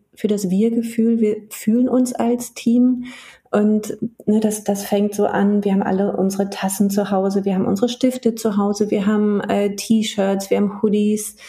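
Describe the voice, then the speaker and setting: A woman speaks in a monotone, flat way at a fairly high pitch. Her voice is somewhat breathy, with a dark, mellow tone. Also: very even loudness. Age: 40s. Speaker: HR business partner and coach. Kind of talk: casual interview. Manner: hesitant, many fillers.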